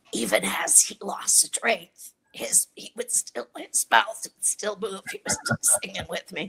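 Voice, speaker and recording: A woman whispers at a fairly slow pace. The sound is dry and close with no echo. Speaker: voice disorder advocate. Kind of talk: interview. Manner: halting.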